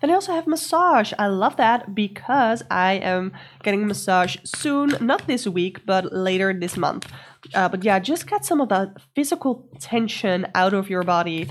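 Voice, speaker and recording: Her voice at medium pitch, a woman with a non-native accent talks at a moderate pace with very wide pitch swings. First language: not English. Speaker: tarot and astrology podcast host. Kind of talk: solo week-ahead astrology and tarot guidance.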